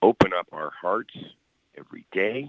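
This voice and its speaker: A man speaks at a moderate pace. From Canada, Hamilton, Ontario. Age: 60s. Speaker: musician. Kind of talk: interview.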